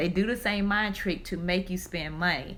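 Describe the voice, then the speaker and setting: In a Southern US accent, a woman talks at medium pitch and a moderate pace, with ordinary pitch variation. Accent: Southern country. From US South. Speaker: personal finance speaker. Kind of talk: live stream talk. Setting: live stream.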